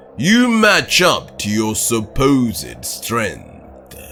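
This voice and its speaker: Over clear background music, a man puts on a character voice at a medium pitch and a very slow pace. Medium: read story. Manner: calm, measured, formally polite yet mocking.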